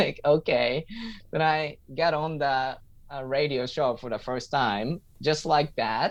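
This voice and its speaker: A man with a Japanese accent speaks at a very slow pace in a fairly high voice. His intonation is fairly even, and the background is quiet. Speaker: stand-up comedian and English teacher. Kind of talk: interview answer.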